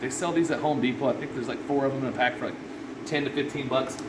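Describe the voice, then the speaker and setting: A man's fairly high voice with noticeable background noise and audible room echo. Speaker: restoration contractor. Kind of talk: tutorial. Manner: fast; casual.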